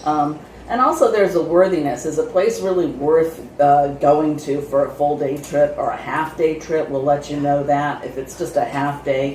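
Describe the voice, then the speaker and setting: Speaking at a moderate pace, a woman with a very deep, low pitch is heard through audible room echo and noticeable background noise. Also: ordinary pitch variation. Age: 60s. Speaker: travel vlogger. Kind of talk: casual chat.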